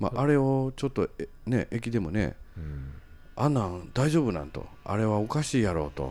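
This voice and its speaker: Music plays in the background as a man talks. His fairly low voice swings very widely in pitch. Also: moderate pace. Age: 40s. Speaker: city council member and podcast host. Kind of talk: casual political chat. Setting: recorded late at night.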